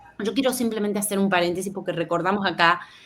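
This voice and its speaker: Fairly even intonation marks a woman speaking in a Rioplatense accent. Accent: Argentine Rioplatense Spanish. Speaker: journalist. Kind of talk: interview.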